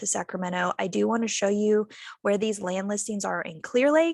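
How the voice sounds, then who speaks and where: Using a plain, everyday voice, a woman speaks at medium pitch with lively intonation. The background is quiet, and the sound is dry and close with no echo. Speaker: real estate agent. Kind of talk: casual map tour walkthrough. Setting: video call.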